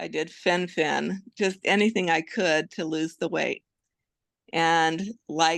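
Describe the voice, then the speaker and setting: The background stays quiet. Against it, a woman talks at a very slow pace. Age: 60s. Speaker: patient. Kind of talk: interview testimony.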